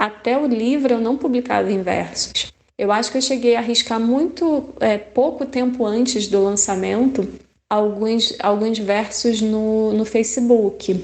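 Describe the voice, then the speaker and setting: Speaking at a fairly slow pace, a woman uses an ordinary speaking voice with a fairly high pitch and ordinary pitch variation. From Rio de Janeiro. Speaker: poet. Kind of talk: interview answer.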